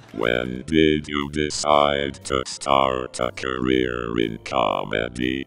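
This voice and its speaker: A man's put-on character voice, very deep and low, at a very slow pace with hardly any pauses and fairly even intonation. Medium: comedy sketch. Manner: curt, deadpan.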